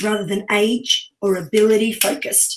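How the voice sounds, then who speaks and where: A woman with an Australian accent speaks at a moderate pace in a fairly high, somewhat breathy voice. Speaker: podcast co-host. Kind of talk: reading aloud a bio; podcast interview.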